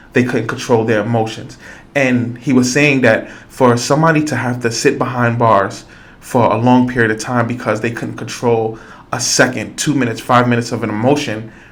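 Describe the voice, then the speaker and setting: A man at a medium pitch, fairly quick and monotone with flat intonation, amid noticeable background noise and audible room echo. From New York, the Bronx. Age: 40s. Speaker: podcast host and school youth worker. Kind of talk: podcast interview conversation.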